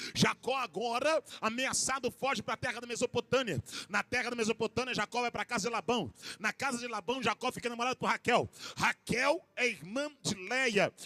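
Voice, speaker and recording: A man speaks at a moderate pace in an extremely high pitch, his raised, projected voice bright and sharp with an animated tone, recorded dry and close with no echo. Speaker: pastor. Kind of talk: sermon.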